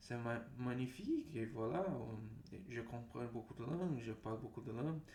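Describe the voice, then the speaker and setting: A man's somewhat breathy voice with a dark, mellow tone, a Portuguese accent, ordinary pitch variation and a fairly slow pace. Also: medium pitch for a man. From Brazil. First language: Portuguese (speaking French). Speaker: language learner vlogger. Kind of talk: casual monologue vlog. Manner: halting, many fillers and repetitions.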